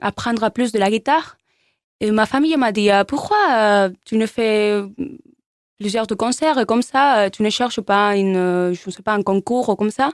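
A woman at a fairly slow pace with long, frequent pauses, fairly high in pitch with ordinary pitch variation, in a very clean recording with a silent background and a dry, close sound with no echo. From Spain (Barcelona). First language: Spanish or Catalan (speaking French). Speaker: musician. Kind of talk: interview. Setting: studio. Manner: halting.

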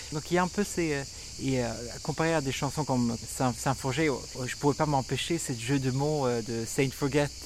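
A man with a Swedish accent speaks at a fairly high pitch with fairly even intonation. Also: moderate pace. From Sweden. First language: Swedish (speaking French). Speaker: singer-songwriter and music producer. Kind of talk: interview. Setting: festival, outdoors with cicadas. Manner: halting, many repetitions and hesitations.

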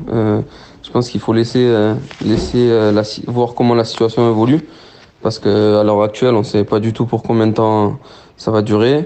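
His intonation is flat and monotone, at medium pitch and a moderate pace. This man pauses often and at length. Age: 20s. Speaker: professional footballer. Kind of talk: phone interview. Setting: phone call. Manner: halting.

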